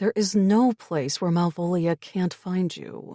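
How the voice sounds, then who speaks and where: A put-on character voice at a middle pitch talks at a fairly slow pace. The recording is very clean, with a silent background. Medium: read story.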